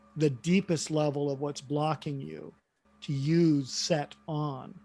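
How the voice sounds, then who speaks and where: A man talks at a very slow pace with a fairly high pitch and fairly even intonation. Music plays in the background. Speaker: workshop facilitator and coach. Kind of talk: online workshop group discussion.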